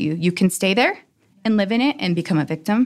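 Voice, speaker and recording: Over a silent background in a very clean recording, a woman talks very fast at a medium pitch. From Utah, US. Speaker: dancer and business owner. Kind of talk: interview. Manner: animated.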